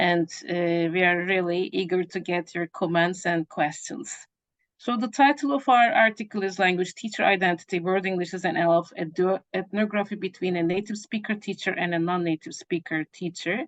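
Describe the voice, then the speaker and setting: A woman speaks at a medium pitch with a Turkish accent and ordinary pitch variation. Her pace is fairly quick, and the sound is dry and close with no echo. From Turkey. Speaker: professor. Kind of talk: academic presentation.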